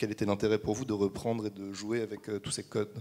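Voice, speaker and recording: A man's dark, mellow tone, fairly low in pitch, at a fairly quick pace. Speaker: film student. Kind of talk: interview. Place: stage. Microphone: handheld.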